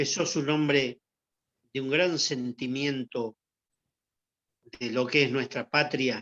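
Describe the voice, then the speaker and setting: In a Rioplatense accent, a man speaks at a very slow pace with a dry, close sound and no echo. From Argentina. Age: 70s. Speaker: former athlete. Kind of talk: interview testimony. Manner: halting with repetitions.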